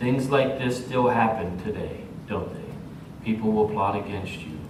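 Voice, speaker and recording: A man with a medium-pitched voice speaks at a fairly slow pace, his loudness swinging widely and his pitch varying in an ordinary way, with audible room echo and noticeable background noise. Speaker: pastor. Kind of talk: sermon. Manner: stuttering at times.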